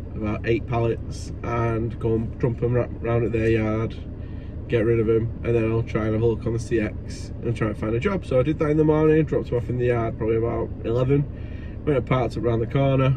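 Talking at a fairly quick pace with fairly even intonation, a man comes through with a dry sound with no echo and noticeable background noise. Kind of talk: casual vlog chat. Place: car. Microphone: phone near.

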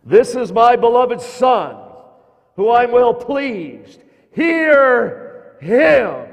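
A man uses a put-on character voice, raised and projected, at an extremely high pitch. He speaks at a very slow pace. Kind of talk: archaic, biblical.

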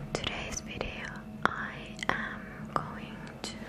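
Her speech unfolds at a very slow pace. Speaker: ASMR artist. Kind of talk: ASMR trigger words. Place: home room. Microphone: studio mic.

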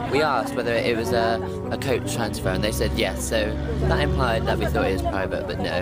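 Loud music plays in the background while a man speaks. His voice sounds dry, with no echo. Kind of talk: casual vlog chat. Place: bus. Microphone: phone near.

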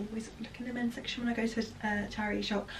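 A woman talks over light background noise. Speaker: fashion vlogger. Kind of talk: casual vlog chat. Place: home room. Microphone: camera far.

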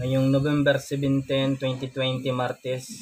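With light background noise behind him, a man talks at a very slow pace. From Philippines. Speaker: family vlogger. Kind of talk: vlog narration. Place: home room. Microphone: phone near.

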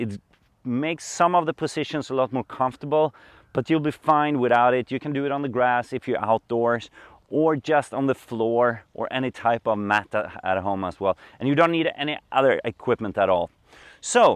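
A man talks at a moderate pace with ordinary pitch variation. The sound is dry with no echo, over a quiet background. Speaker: yoga instructor. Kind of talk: tutorial. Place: open country.

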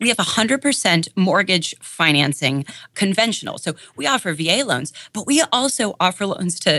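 The woman's tone is bright and sharp, with very wide pitch swings. The sound is dry and close, without echo. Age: 30s. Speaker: credit union executive. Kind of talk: podcast interview.

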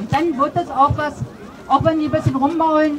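A woman speaks over noticeable background noise. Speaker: speaker. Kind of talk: open mic speech; public speech. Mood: earnest, emotional appeal. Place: street.

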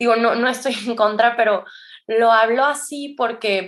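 A woman speaks in a fairly high pitch at a moderate pace. Her intonation stays fairly even against a quiet background. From Mexico, San Luis Potosí. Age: 20s. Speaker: addiction counselor and yoga teacher. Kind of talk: testimony. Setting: remote recording.

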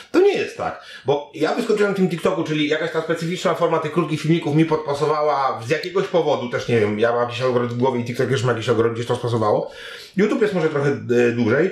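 A man speaks very fast with lively intonation, and audible room echo surrounds his voice. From Poland. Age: 40s. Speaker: internet content creator and reporter; podcast guest. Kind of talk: interview. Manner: casual, animated. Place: home room.

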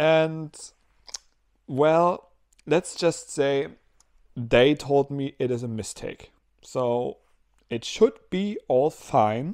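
Over a quiet background, a man talks in a dark, mellow tone with ordinary pitch variation. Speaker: vlogger. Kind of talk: casual vlog chat. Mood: mildly frustrated then relieved. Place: home room. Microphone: lapel.

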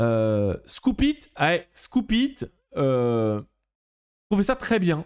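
The pitch swings very widely while the loudness stays very even. The pace is very slow, and the background is quiet. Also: man, fairly high pitch for a man. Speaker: digital marketing trainer; presenter. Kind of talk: live webinar tutorial. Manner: casual, energetic. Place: home room. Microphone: webcam.

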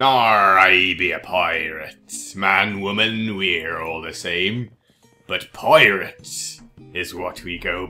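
Over faint music in the background, a man puts on a character voice at a fairly low pitch and a very slow pace.

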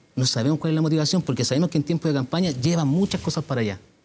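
At a very fast pace, a man with a fairly high pitch, a dark, mellow tone and a somewhat breathy quality talks with ordinary pitch variation. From Puente Alto, Santiago, Chile; Chile. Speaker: mayoral candidate; candidate. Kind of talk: televised political debate. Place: studio. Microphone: lapel.

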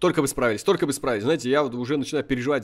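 A medium-pitched man speaks in an animated tone. The recording is very clean, with a silent background. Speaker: gaming video creator. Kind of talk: gameplay commentary.

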